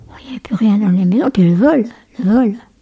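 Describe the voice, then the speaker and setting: A woman's fairly high voice in a dry, close sound with no echo. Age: 80s+. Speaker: great-grandmother and war-era witness. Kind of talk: casual family interview.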